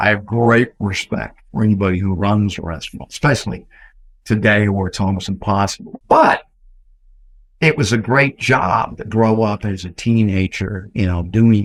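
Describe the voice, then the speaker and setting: A man with a Texan accent talks at a moderate pace and a fairly low pitch, with ordinary pitch variation. The recording is very clean, with a silent background. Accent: Texan American. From Texas, San Antonio. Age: 70s. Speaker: real estate entrepreneur. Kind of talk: interview storytelling.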